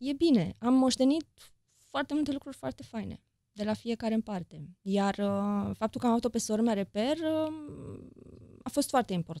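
Her dark, mellow tone and fairly high pitch carry lively intonation as the woman speaks at a moderate pace. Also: quiet background, dry sound with no echo. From Romania, Deva (Transylvania); Romania. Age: 40s. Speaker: journalist and author; journalist. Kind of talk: interview conversation. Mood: reflective, personal. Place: studio. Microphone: studio mic.

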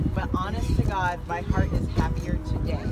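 A man at a fairly slow pace in a dry sound with no echo, with loud music in the background. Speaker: youth soccer coach. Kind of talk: team pep talk. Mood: proud, emotional. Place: open country.

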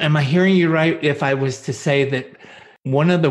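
A man talks with an American accent and fairly even intonation. His voice is somewhat breathy. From US Northeast. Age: 70s. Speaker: podcast host. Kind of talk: interview.

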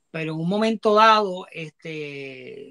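The voice has a bright, sharp tone and fairly even intonation, set against a quiet background. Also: man. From Ponce, Puerto Rico; Puerto Rico. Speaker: toy collector and salesman; interview guest. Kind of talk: live-stream interview. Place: home room. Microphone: earbuds.

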